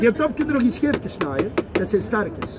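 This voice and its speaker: Against noticeable background noise, a man with an extremely high pitch talks at a fairly quick pace with very wide pitch swings. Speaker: market vendor. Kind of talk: market sales pitch. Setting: outdoors. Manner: lively, persuasive. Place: market. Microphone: camera far.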